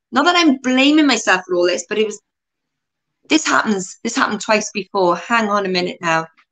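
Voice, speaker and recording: This woman talks fairly quickly. Very wide swings mark her pitch. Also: fairly high pitch for a woman. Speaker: interview show host. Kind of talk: casual interview. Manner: halting, repeats words.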